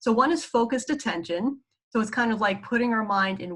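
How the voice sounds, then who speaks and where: In a New York accent, a woman talks at a fairly quick pace with a bright, sharp tone and lively intonation. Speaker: psychologist teaching mindfulness. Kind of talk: lecture. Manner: casual, filler-heavy.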